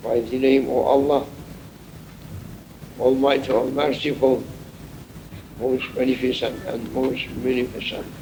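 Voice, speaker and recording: Amid noticeable background noise and audible room echo, a man with a medium pitch speaks at a fairly slow pace in a monotone, flat intonation, with long, frequent pauses. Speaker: Sufi sheikh. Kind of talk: sermon.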